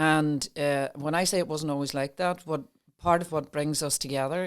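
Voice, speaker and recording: On a very clean recording with a silent background, a woman with an Irish accent speaks with a very deep, low pitch, fairly even intonation and a moderate pace. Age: 60s. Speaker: mind wellness coach. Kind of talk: casual chat. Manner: halting.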